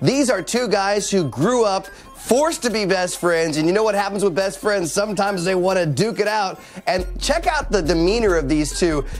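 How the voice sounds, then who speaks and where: Upbeat, lively intonation from a man with a high pitch, at a moderate pace, with music in the background. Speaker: television news and sports anchor. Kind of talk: live news reporter answer from a sports event. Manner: upbeat, conversational.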